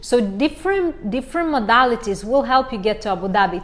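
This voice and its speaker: A woman speaks with a Romanian accent at a fairly high pitch. Her pace is fairly quick. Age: 40s. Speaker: life coach. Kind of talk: live stream Q&A. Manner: halting, many fillers.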